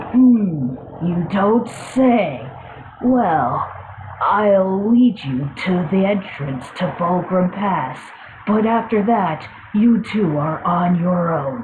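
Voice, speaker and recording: Over clear background noise, a female-sounding, put-on character voice at a medium pitch moves at a very slow pace. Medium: audio drama. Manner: dry, courteous.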